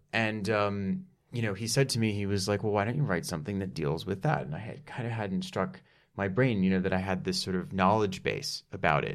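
Amid audible room echo, a man with a fairly low pitch talks at a fairly quick pace with lively intonation. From Dallas, Texas. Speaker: actor and writer. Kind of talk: casual interview chat. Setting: studio.

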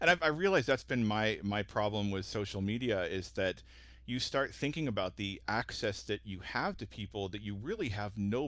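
Lively in intonation, a man with an ordinary speaking voice talks fairly quickly at a fairly low pitch. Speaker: guest host for this episode. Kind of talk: casual interview chat.

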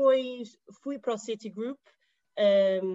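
A woman speaks at a fairly high pitch in a dark, mellow tone. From Portugal. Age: 20s. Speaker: digital marketing professional. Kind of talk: interview conversation.

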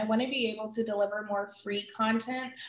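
A woman's plain, everyday voice, fairly high in pitch, with fairly even intonation and a moderate pace. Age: 30s. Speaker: career wellness coach. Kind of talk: interview.

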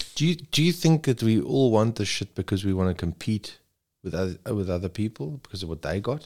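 A man with a South African accent talks at a fairly low pitch and fairly quick pace, his pitch swinging very widely. The recording is very clean and dry, close with no echo and a silent background. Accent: English-speaking South African. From South Africa (Zululand). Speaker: rescue helicopter paramedic. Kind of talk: casual chat.

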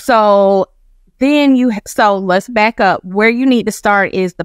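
An ordinary speaking voice with an American accent moves at a moderate pace with ordinary pitch variation. The sound is dry and close, with no echo. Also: woman. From Georgia (Macon), US South. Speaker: college scholarship consultant. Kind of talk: interview. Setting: studio.

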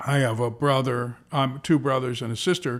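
A plain, everyday voice, moderately paced, captured in a very clean recording against a silent background. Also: man. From US, moved around as a child. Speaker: baseball team executive. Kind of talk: casual chat. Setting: office at a ballpark.

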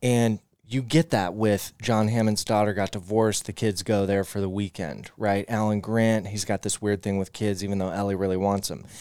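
In an unremarkable speaking voice, a man talks at a moderate pace with hardly any pauses, fairly even intonation and a fairly low pitch, on a very clean recording with a silent background. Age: 30s. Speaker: podcast host. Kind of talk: casual banter, comedic podcast chat.

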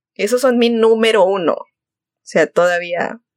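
A normal speaking voice at a fairly slow pace, dry and close with no echo. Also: woman. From Monterrey, northern Mexico. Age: 20s. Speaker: podcast co-host. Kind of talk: casual chat.

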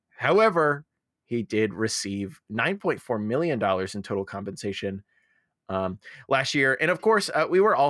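In a very clean recording with a silent background and a dry, close sound with no echo, a man with a plain, everyday voice speaks with lively intonation. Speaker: podcast host. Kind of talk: casual chat.

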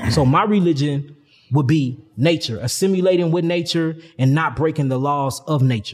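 The voice is somewhat breathy, with an American accent. It moves at a moderate pace with ordinary pitch variation. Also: man, very clean recording, silent background. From St. Louis, Missouri, US Midwest. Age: 30s. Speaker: holistic health teacher. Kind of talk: casual interview.

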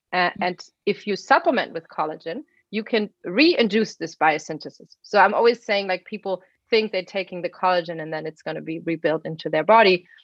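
A woman with a German accent, medium in pitch, with ordinary pitch variation, big swings in loudness and a fairly quick pace, in a dry, close sound with no echo. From Germany. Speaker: biotech engineer and pet supplement founder. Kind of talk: interview.

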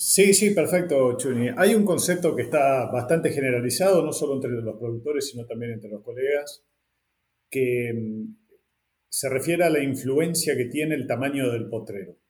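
At a moderate pace, a man speaks in a somewhat breathy voice of medium pitch. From northern Argentina. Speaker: podcast host. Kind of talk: interview.

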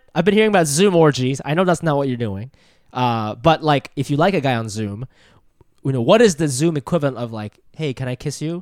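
Lively in intonation, a man with a plain, everyday voice speaks at a fairly high pitch in a dry, close sound with no echo. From Ohio, US (born in Japan). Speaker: comedian. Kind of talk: casual chat.

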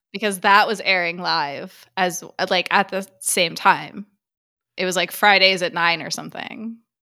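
A woman speaks at a fairly slow pace with a bright, sharp tone and fairly even intonation. The recording is very clean, with a silent background. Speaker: horror podcast co-host. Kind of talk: casual chat.

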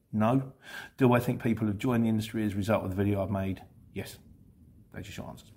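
A man with an English accent, fairly low-pitched, dark and mellow in tone, at a very fast pace with long, frequent pauses, fairly even intonation and big swings in loudness. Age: 50s. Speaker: van courier vlogger. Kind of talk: casual Q&A monologue.

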